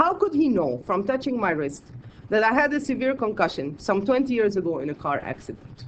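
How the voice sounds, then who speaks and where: Noticeable background noise fills the clip. Words come at a fairly quick pace. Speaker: academic conference presenter; scholar of medieval Islamic medicine. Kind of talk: conference talk read from a paper. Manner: reading aloud, measured.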